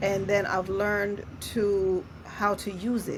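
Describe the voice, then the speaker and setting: Somewhat breathy, a woman speaks at medium pitch. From Jamaica. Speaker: podcast host, introvert author. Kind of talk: casual interview chat.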